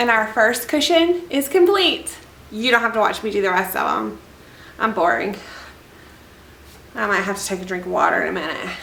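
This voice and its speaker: A woman speaks loudly at a fairly high pitch, with very wide pitch swings and long, frequent pauses. Audible room echo and noticeable background noise fill the recording. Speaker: DIY furniture refinisher. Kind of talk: tutorial. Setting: outdoors. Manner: casual, chatty.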